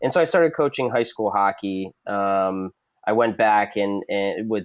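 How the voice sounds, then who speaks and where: This is a normal speaking voice with ordinary pitch variation, delivered at a moderate pace. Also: man. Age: 30s. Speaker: hockey writer and goalie coach. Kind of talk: interview.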